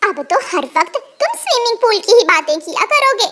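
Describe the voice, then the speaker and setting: A woman's squeaky, cartoonish character voice at an extremely high pitch and a fairly quick pace. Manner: bitter.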